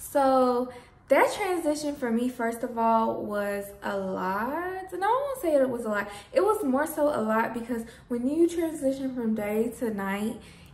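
A woman's high-pitched voice at a fairly slow pace, with audible room echo. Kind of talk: casual vlog chat. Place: home room. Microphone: phone near.

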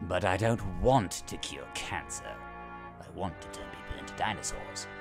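A man uses a put-on character voice, fairly low in pitch, at a moderate pace. Clear music plays in the background. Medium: dub. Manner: menacing, theatrical.

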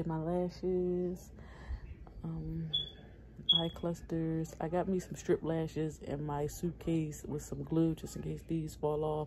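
A woman talks at a very slow pace as noticeable background noise carries on. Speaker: mother vlogger. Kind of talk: casual vlog chat. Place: home room. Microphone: phone near.

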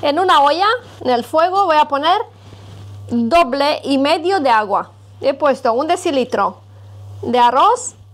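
A woman speaks fairly slowly in a high pitch. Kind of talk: cooking tutorial. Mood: warm and friendly. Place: kitchen.

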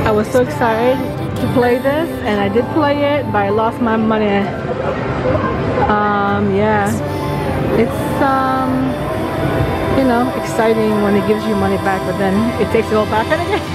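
A woman speaks over loud background music. She leaves long, frequent pauses. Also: moderate pace. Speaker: travel vlogger. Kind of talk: casual vlog chat. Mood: excited, admiring. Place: hall. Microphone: phone near.

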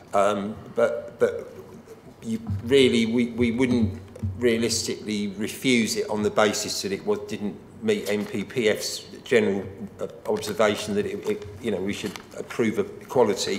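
At a fairly slow pace and with long, frequent pauses, a man talks in a room with audible echo and light background noise. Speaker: local councillor. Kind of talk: committee debate. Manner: halting, repeats words. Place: meeting room. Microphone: podium.

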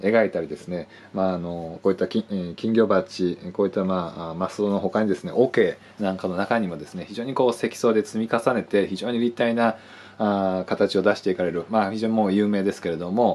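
A man speaks at a fairly quick pace and fairly low pitch, with fairly even intonation and big swings in loudness. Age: 40s. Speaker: art buyer and appraiser. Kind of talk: sales pitch. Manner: formal, polite. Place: office. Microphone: phone near.

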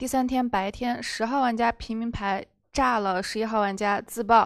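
The speech has ordinary pitch variation against a quiet background. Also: woman. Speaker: werewolf game moderator. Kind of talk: game moderation. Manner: formal. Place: studio.

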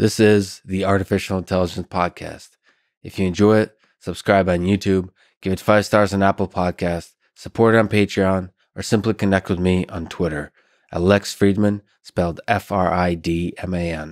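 Over a quiet background, the speech runs at a moderate pace in a flat monotone. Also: man, very deep, low pitch for a man. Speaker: podcast host. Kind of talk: podcast intro monologue. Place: studio. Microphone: studio mic.

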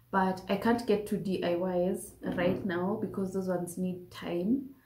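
A woman speaks at a fairly slow pace in a dark, mellow tone, with audible room echo. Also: fairly low pitch for a woman, fairly even intonation.

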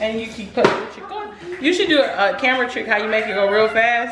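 A woman over loud background noise. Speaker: the creator's mother. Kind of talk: casual cooking banter. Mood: playful, joking. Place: kitchen.

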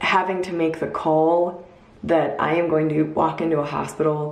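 Amid audible room echo, a woman speaks with a very deep, low pitch in a monotone, flat delivery at a fairly slow pace. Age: 20s. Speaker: video blogger sharing personal story. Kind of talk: personal storytelling vlog. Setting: at home recording a video. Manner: casual, conversational. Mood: earnest, reflective, upbeat at end. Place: home room. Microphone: phone near.

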